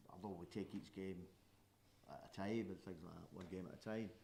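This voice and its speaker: Speaking with a Scottish accent, a man uses a dark, mellow tone at a moderate pace. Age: 70s. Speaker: football fan pundit. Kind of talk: casual chat.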